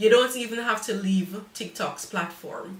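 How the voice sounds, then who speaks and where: Noticeable background noise accompanies a woman speaking at a fairly slow pace with a Jamaican accent and ordinary pitch variation. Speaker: cake decorator. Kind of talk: live stream tutorial. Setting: live stream.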